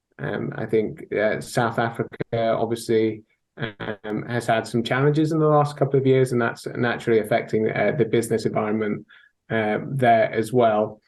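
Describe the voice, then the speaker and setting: With a strong British accent, a man speaks at a medium pitch. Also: ordinary pitch variation, moderate pace. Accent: thick British. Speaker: sales technology consultant. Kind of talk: interview.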